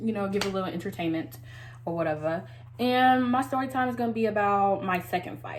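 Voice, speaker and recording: A woman speaks at a very fast pace with a medium pitch. Her pitch swings very widely, and audible room echo is present. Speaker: beauty vlogger. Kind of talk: casual story time. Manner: words run together.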